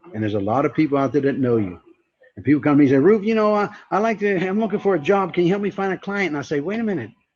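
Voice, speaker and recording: A man speaks very fast with lively intonation. He has an American accent. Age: 60s. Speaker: networking speaker and trainer. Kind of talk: motivational talk. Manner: animated.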